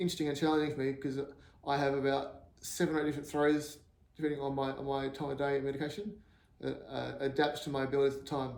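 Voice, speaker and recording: Very fast and monotone, with flat intonation, a man with an Australian accent speaks at a fairly high pitch. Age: 40s. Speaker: axe thrower with Parkinson's. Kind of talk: personal appeal to camera. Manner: hesitant, halting, repeats words.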